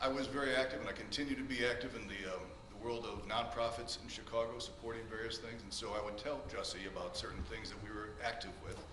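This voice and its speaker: With audible room echo and noticeable background noise, a man speaks very fast at medium pitch with fairly even intonation. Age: 60s. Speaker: character witness, music director. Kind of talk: court testimony. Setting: courtroom.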